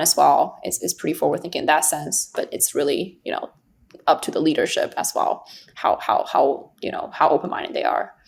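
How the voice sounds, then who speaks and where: Speaking at a moderate pace, a woman talks with a Chinese accent. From China. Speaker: investor. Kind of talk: podcast interview. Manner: halting, many fillers.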